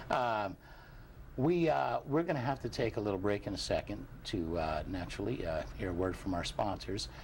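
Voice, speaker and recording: This man speaks in a fairly low voice with vocal fry, his pitch swinging very widely. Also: moderate pace. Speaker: TV show host. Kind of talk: casual chat.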